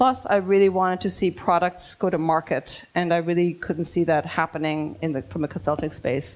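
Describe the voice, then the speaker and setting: A woman with an American accent and an ordinary speaking voice, fairly low pitch, ordinary pitch variation, moderate pace and hardly any pauses. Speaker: design consultant. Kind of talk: lecture.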